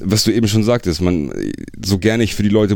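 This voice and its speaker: Here a man rattles along at a very fast pace in a dark, mellow tone with vocal fry. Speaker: metal singer. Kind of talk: casual chat.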